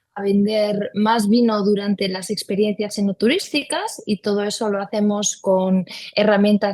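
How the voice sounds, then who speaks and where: Speaking fairly slowly, a woman with a Spanish accent has a dark, mellow tone. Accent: Spanish accent (Spain). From Spain, La Rioja. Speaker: wine tourism marketing consultant. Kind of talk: interview.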